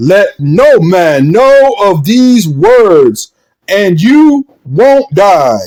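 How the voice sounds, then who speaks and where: A man's put-on character voice, high in pitch, with very wide pitch swings and a very slow pace. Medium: read story. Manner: anxious, secretive.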